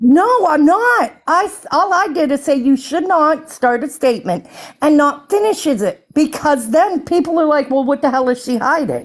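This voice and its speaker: A woman speaks loudly at a moderate pace in a high pitch, with hardly any pauses. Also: lively intonation. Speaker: live stream participant. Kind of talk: heated argument on live stream.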